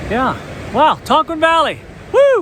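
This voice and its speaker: Noticeable background noise and audible room echo both surround this man as he talks. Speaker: hiking vlogger. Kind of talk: casual vlog talk to camera while hiking. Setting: outdoors on a trail.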